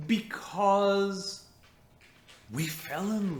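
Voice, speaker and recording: Audible room echo follows a man speaking in a high pitch. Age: 60s. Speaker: retiree vlogger. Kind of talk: casual chat.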